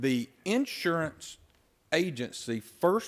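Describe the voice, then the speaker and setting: On a very clean recording with a silent background, a man speaks with an Alabama accent. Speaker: county official. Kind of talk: formal briefing. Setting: county commission meeting.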